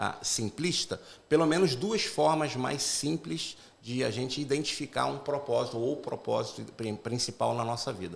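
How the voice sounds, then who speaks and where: Speaking in a Carioca accent, a man has a medium-pitched voice. His intonation is lively and his pace moderate. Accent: Carioca (Rio) accent, moderate. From Brazil, Rio de Janeiro metropolitan area. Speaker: pastor. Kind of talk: podcast interview, faith-based talk. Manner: talkative, long turns.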